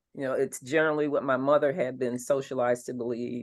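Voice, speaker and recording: Speaking with an American accent, a woman has a very deep, low pitch and fairly even intonation. The background is quiet. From North Philadelphia, Pennsylvania, USA. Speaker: fine artist and former art teacher. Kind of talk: interview answer.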